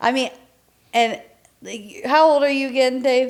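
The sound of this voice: Her pitch high, a woman talks at a fairly slow pace. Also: ordinary pitch variation.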